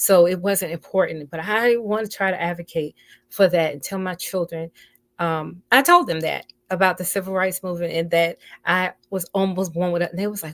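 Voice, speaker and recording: A woman with an American accent has an ordinary speaking voice, a medium pitch and fairly even intonation. The sound is dry and close with no echo, in a very clean recording with a silent background. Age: 60s. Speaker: radio host. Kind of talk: casual talk show monologue. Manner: conversational with frequent fillers.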